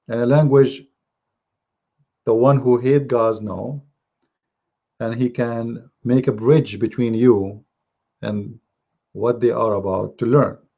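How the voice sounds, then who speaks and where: Pausing long and often, a man with a non-native accent speaks very slowly in a dark, mellow tone. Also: medium pitch for a man, fairly even intonation. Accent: non-native English speaker. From Middle East. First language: Arabic. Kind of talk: live religious talk show. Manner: halting.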